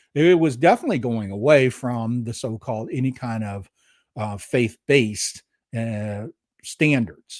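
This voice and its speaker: In a normal speaking voice, a man talks at a fairly slow pace with a medium pitch, ordinary pitch variation and big swings in loudness. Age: 60s. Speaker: podcast host and musician. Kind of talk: monologue podcast.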